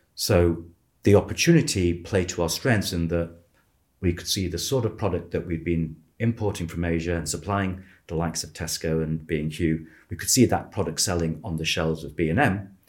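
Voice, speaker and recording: In a very clean recording with a silent background, a man talks at a fairly quick pace in a very deep, low, somewhat breathy voice with ordinary pitch variation. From Manchester, northern England. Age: 50s. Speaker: business founder. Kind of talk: interview.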